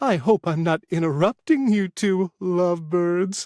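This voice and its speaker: Put-on character voice from a man, high in pitch, at a moderate pace with ordinary pitch variation and a dry, close sound with no echo. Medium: read story. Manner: chatty, impish.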